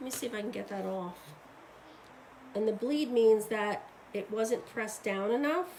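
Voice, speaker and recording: A quiet, fairly high-pitched woman at a moderate pace, ordinary pitch variation, long, frequent pauses and audible room echo. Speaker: craft demonstrator and seller. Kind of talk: live tutorial. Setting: live stream at home desk. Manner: casual, chatty; quiet while focusing.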